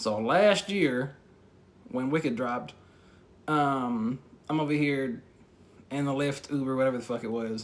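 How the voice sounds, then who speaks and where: A man talks at a fairly slow pace with long, frequent pauses. His pitch is medium with ordinary variation. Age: 20s. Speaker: podcast host. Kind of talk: casual monologue.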